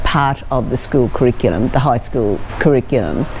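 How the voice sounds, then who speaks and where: A woman with an Australian accent, over noticeable background noise. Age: 70s. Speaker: squash player. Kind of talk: interview answer.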